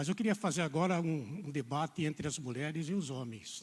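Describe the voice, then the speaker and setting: This man is soft-spoken and somewhat breathy. His pitch sits fairly high. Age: 70s. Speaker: preacher. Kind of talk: sermon. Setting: church.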